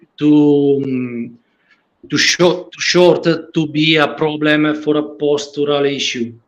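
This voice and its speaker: Speaking at a very slow pace, a man with an Italian accent uses a fairly high pitch. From Italy. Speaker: patient with leg length difference. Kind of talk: roundtable discussion. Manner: halting, many fillers.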